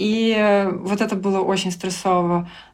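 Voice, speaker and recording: A woman with a medium pitch speaks in a monotone, flat intonation, with audible room echo around her. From Belarus, Grodno. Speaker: frontend developer. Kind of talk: interview. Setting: at a conference.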